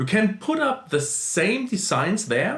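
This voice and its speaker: In a non-native accent, the speaker talks at a fairly slow pace and sounds somewhat breathy. The pitch swings very widely. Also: man. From small country in central Europe. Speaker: YouTuber, side-hustle vlogger. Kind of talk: casual vlog talk. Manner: halting, with fillers.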